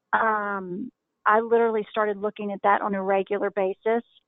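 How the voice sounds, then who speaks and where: A woman talks at a moderate pace. Her pitch sits fairly high. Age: 50s. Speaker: wife of a recovering addict. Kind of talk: interview. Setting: phone call.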